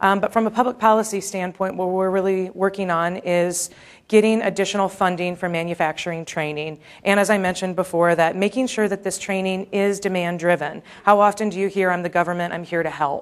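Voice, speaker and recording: This woman talks at a fairly quick pace and a medium pitch. Her intonation stays fairly even. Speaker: manufacturing industry policy advocate. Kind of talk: conference presentation. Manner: fast.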